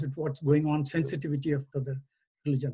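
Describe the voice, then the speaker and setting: A somewhat breathy male voice, fairly high in pitch, with a dark, mellow tone. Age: 80s+. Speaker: retired engineer and community volunteer. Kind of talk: community talk. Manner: halting.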